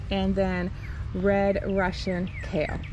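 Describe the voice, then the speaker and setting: The audio sounds dry with no echo and has light background noise. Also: woman. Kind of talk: casual garden tour narration. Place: garden. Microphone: phone near.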